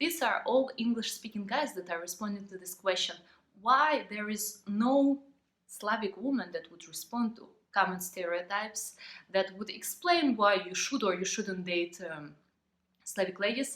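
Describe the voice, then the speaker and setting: With a Ukrainian accent, a woman speaks at a medium pitch with lively intonation and big swings in loudness. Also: moderate pace. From Ukraine. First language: Ukrainian or Russian. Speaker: vlogger. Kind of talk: vlog monologue. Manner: halting.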